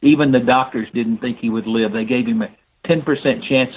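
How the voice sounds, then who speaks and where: Fairly even intonation marks this man's medium-pitched voice with a Southern US accent. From US South, North Alabama. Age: 70s. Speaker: inspirational speaker and mentor. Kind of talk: podcast interview. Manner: halting with frequent fillers.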